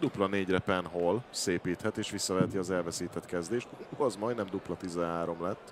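Intonation remains fairly even throughout. The talking moves at a moderate pace. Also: man, very deep, low pitch for a man. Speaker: darts pundit. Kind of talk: live commentary.

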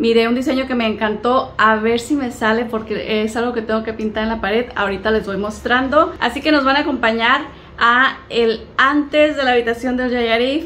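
A woman's high-pitched voice at a moderate pace, fairly even intonation, and light background noise. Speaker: home vlogger. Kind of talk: casual vlog chat. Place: home room. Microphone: phone near.

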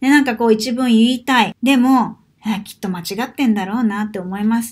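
The voice is somewhat breathy, moving at a fairly quick pace with ordinary pitch variation over a quiet background. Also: woman. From Japan. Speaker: Portuguese language teacher and vlogger; Portuguese language teacher, vlogger. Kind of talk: vlog monologue. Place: home room. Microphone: webcam.

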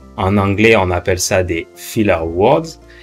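A man talks very slowly while faint music sits in the background. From France. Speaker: French teacher. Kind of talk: language lesson to camera. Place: home room. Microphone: studio mic.

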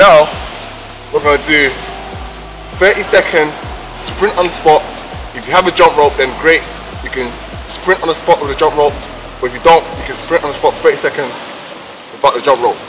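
Over music in the background, a man talks at a fairly quick pace with fairly even intonation. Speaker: fitness trainer. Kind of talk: workout tutorial. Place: street.

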